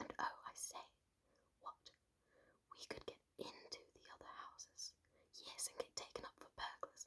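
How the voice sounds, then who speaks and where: Whispering, a woman speaks at a moderate pace. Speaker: ASMR creator. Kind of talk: ASMR bedtime story reading. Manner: whispered, close-mic, soft-spoken.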